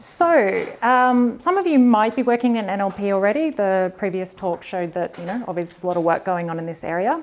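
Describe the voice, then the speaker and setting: A woman with an Australian accent speaks at a fairly quick pace in a medium pitch, her intonation lively and her delivery running with hardly any pauses. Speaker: data science developer advocate. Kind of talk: conference talk.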